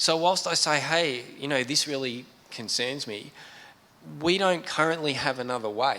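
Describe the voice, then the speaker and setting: With an Australian accent, a man speaks at a moderate pace and fairly high pitch with ordinary variation, amid audible room echo and noticeable background noise. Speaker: computer science professor. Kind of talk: panel discussion. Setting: stage with audience.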